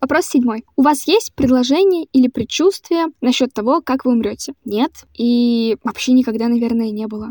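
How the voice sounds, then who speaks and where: A woman with a high, dark and mellow voice speaks at a moderate pace with hardly any pauses and ordinary pitch variation, recorded dry and close with no echo. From Central Russia, Voronezh. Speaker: podcast host. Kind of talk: personal monologue podcast.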